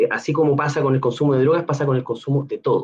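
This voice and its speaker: A man with a Chilean accent talks at a very fast pace. His voice is fairly high in pitch and somewhat breathy. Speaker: neuroscience researcher. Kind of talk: Q&A; educational talk to students.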